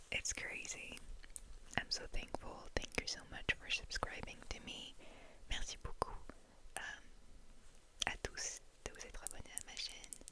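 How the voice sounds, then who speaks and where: Whispering at a very slow pace, a woman leaves long, frequent pauses, her loudness swinging widely over noticeable background noise. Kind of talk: ASMR what's in my bag. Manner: whispered.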